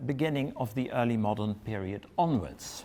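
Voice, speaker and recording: A man with a Dutch accent speaks at a fairly slow pace with lively intonation. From Netherlands. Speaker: history professor. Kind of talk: lecture. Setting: lecture room with audience. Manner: reading from text.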